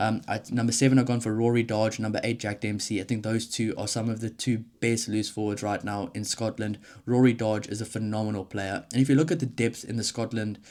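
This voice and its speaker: A man with a South African accent talks very fast at a fairly low pitch in a monotone, flat intonation, captured in a very clean recording with a silent background. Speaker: rugby YouTuber. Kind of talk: solo commentary video. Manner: casual, conversational.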